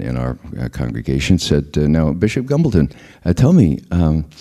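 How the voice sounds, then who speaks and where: An American accent colors this man's speech. His voice is very deep and low, dark and mellow in tone. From US Northeast, the Bronx, New York. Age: 60s. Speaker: former intelligence analyst and activist. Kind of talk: public talk.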